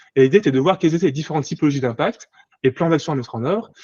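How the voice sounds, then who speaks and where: The man's voice is fairly high and somewhat breathy. His intonation is lively. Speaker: management controller and sustainability accounting consultant. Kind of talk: conference presentation. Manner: fast; halting, many repetitions.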